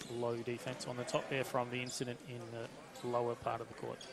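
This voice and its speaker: With an Australian accent, a man speaks at a moderate pace. Noticeable background noise runs behind him. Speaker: basketball commentator. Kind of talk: live commentary. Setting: basketball stadium.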